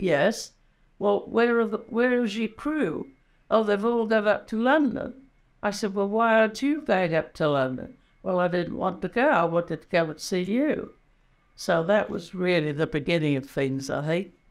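The background stays quiet. A woman talks with very wide pitch swings. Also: moderate pace. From England. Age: 80s+. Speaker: war veteran nurse. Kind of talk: interview answer. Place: home room.

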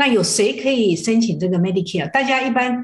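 Her voice somewhat breathy, a woman speaks with lively intonation. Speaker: Medicare benefits counselor. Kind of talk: TV talk show interview. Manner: halting.

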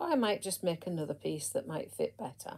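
In a quiet setting, a woman speaks with a fairly low pitch and a dark, mellow tone. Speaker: crochet teacher. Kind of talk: casual tutorial chat. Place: home room. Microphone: phone near.

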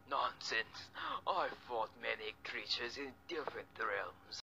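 A man uses a put-on character voice. His pace is fairly slow. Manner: confident, boastful.

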